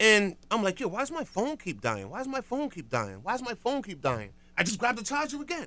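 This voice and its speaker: Raising and projecting his voice, a man with a New York accent speaks at a fairly quick pace in a bright, sharp tone, his high pitch swinging very widely. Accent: New York (Harlem) urban American English. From New York City, Harlem. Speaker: morning radio show host. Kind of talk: radio DJ patter, rattling off town-by-town morning shout-outs and segment intros. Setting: radio studio. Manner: hype, rapid-fire, repetitive call-outs with slangy street energy; punchy, rhetorical segment-opener cadence.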